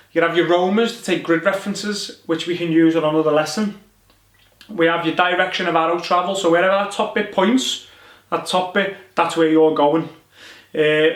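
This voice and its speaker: With a strong Liverpool accent, a man speaks at a high pitch and a moderate pace with fairly even intonation. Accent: strong Liverpool (Scouse). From northern England, Liverpool. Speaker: soldier and survival instructor. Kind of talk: tutorial. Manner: casual, conversational.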